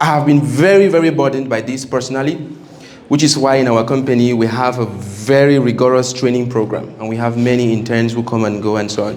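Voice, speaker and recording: A man talks at a very fast pace in a medium pitch with ordinary pitch variation, amid noticeable background noise and audible room echo. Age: 30s. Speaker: engineering company owner and guest speaker. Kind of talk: seminar talk to students.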